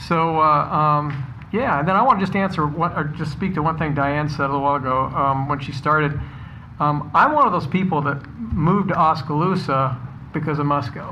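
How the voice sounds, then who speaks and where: An American accent at a fairly quick pace, with noticeable background noise. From Iowa. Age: 60s. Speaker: city council member. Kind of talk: council meeting remarks.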